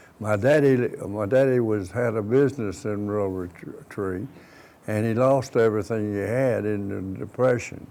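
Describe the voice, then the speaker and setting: With an Appalachian accent, a man speaks in a fairly low pitch at a moderate pace, with ordinary pitch variation. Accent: southern Appalachian US. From US South, southwest Virginia (Wythe County, Pulaski). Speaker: war veteran. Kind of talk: oral history interview. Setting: studio. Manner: halting, many restarts and fillers.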